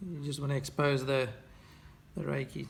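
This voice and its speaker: Over light background noise, a man talks at a moderate pace in a relaxed tone. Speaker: fly tier. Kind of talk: tutorial. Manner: relaxed, with hesitations. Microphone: phone near.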